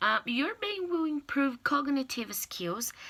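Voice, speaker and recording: With a Portuguese accent, a woman projects a raised voice at a high pitch. She speaks fairly slowly, her intonation lively. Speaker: language learner giving a class speech. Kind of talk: persuasive speech. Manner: halting, with fillers and restarts.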